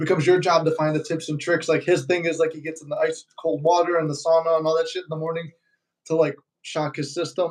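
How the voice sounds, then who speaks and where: In a Chicago accent, a man with a fairly high pitch talks at a very fast pace in a monotone, flat intonation. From Chicago, US. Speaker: manifestation YouTuber. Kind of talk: casual live-stream chat. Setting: live stream.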